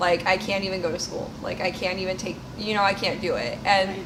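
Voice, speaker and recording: Noticeable background noise and audible room echo fill the clip. A woman talks at a medium pitch. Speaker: video podcast co-host. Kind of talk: casual chat.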